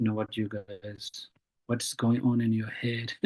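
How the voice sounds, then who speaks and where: He has a non-native accent. This man talks at a moderate pace. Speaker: Buddhist teacher. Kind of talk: dharma teaching Q&A. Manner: halting.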